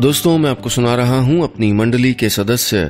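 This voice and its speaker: The intonation is lively, with music playing in the background. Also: man. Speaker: radio storyteller. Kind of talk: radio story narration.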